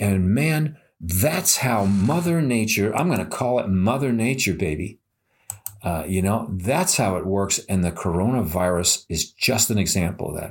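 A man at a moderate pace, fairly low in pitch with lively intonation, on a very clean recording with a silent background. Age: 60s. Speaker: podcast host; former healthcare worker. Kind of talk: casual monologue. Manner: animated.

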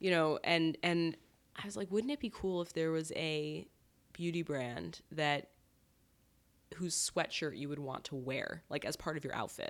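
With an American accent, a woman in an ordinary speaking voice talks at a fairly slow pace and fairly low pitch, her pitch varying in an ordinary way, on a very clean recording with a silent background. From US Northeast, southern Connecticut. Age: 30s. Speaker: beauty company founder. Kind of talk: casual interview. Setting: home kitchen.

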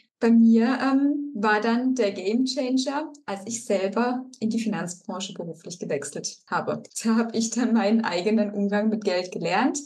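Against noticeable background noise, a woman talks at a moderate pace with hardly any pauses, using a fairly high pitch with ordinary pitch variation. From Baden-Württemberg, Germany (Rastatt). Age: 30s. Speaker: financial coach. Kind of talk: interview.

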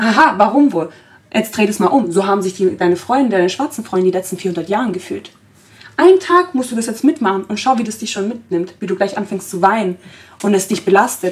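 It is a plain, everyday voice at a fairly quick pace. Pitch variation is ordinary. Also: woman, medium pitch for a woman. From Germany, Italian family. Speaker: podcast host. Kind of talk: casual discussion. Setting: studio.

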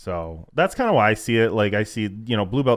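At a moderate pace, a man speaks with lively intonation in an ordinary speaking voice. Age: 20s. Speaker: grappling podcast co-host. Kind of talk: casual chat. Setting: studio.

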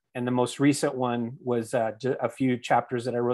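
Speaking with an American accent at a medium pitch, the man comes through on a very clean recording with a silent background. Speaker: author. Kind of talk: casual interview chat. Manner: halting, many fillers and repeats.

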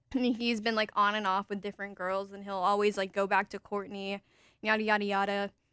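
A woman talks very fast at a medium pitch in a bright, sharp tone with monotone, flat intonation. The recording is very clean, with a silent background. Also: dry, close sound with no echo. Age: young. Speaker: dating podcast host. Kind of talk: casual chat.

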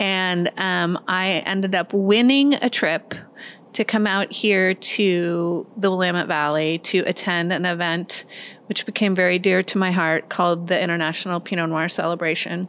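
A plain, everyday voice in an American accent, fairly even in intonation, at a moderate pace on a very clean recording with a silent background. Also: woman, medium pitch for a woman. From US Midwest. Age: 50s. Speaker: winery co-founder. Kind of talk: interview conversation. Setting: pizza restaurant.

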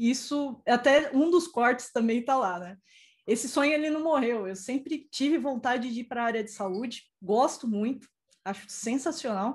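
Speaking at a moderate pace in a high voice, a woman shows ordinary pitch variation and big swings in loudness on a very clean recording with a silent background. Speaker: IT professional and mentor. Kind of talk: live-stream interview.

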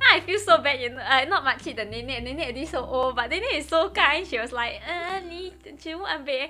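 A woman's extremely high, raised and projected voice, with lively intonation, big swings in loudness, a moderate pace and hardly any pauses. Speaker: podcast co-host. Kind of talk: casual chat.

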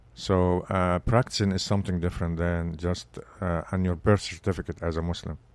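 A man's very deep, low voice with an Arabic accent, flat and monotone, at a fairly quick pace. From Egypt. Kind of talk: interview conversation. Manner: hesitant, with frequent fillers.

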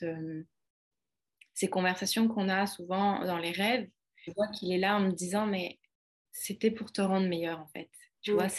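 A woman at a fairly slow pace, her intonation fairly even. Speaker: holistic coach and author. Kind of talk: casual chat.

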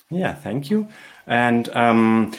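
A man with a German accent and lively intonation. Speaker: podcast host. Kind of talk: interview. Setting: video call.

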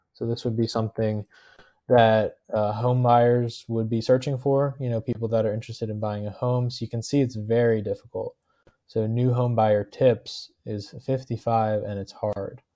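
A man's medium-pitched voice with an American accent, dark and mellow, in a monotone, flat delivery at a moderate pace over a quiet background. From New Jersey. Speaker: affiliate marketer. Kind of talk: tutorial. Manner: casual with frequent fillers.

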